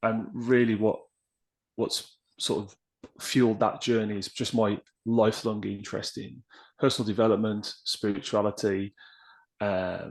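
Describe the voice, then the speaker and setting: With an English accent, a man speaks slowly in a flat monotone at a fairly low pitch, his loudness swinging widely and his long pauses coming often. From West Midlands, England (near Birmingham). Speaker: podcast guest, writer on personal development. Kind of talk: casual interview chat. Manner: hesitant, many fillers.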